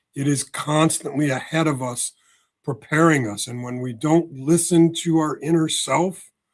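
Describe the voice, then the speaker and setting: A man with an ordinary speaking voice talks at a moderate pace, fairly high in pitch and with fairly even intonation, while his loudness swings widely. The recording is very clean, with a silent background. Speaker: spiritual healer and author. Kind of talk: podcast interview.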